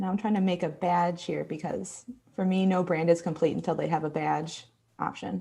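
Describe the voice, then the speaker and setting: A woman with a strong Midwestern accent talks at a moderate pace in a fairly low pitch, her tone dark and mellow with vocal fry. Her intonation stays fairly even, and the recording is very clean with a silent background. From Texas. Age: 20s. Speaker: graphic designer and illustrator. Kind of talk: live design tutorial. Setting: livestream.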